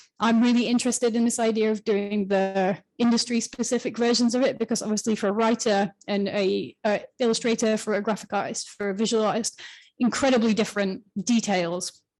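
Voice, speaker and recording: A woman talks at a fairly quick pace with a fairly high pitch and monotone, flat intonation. Her loudness stays very even against a quiet background. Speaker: writer of the freelancer guide. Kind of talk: panel discussion. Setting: live event with audience and online. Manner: fast.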